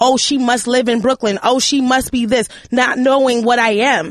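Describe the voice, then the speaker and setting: A woman with a New York accent speaks at a high pitch. Her intonation stays fairly even. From New York, Manhattan. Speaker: podcast co-host. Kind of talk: casual chat. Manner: loud.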